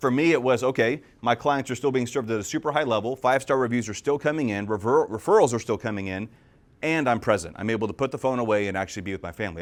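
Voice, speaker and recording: A man's medium-pitched voice at a very fast pace, with ordinary pitch variation, on a very clean recording with a silent background. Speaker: real estate agent and podcast host. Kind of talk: live talk. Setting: stage with audience. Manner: loud.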